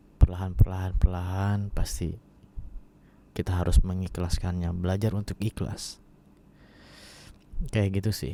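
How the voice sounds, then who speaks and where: This man's voice has a very deep, low pitch and a dark, mellow tone. He speaks in a flat monotone with long, frequent pauses and big swings in loudness. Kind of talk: ASMR bedtime talk. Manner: soft, intimate, slow.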